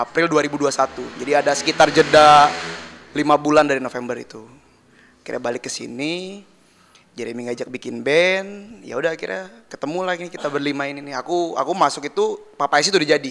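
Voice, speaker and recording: Very fast delivery with ordinary pitch variation and big swings in loudness. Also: man, fairly high pitch for a man. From Jakarta, Indonesia. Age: 20s. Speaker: band drummer. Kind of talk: casual interview chat.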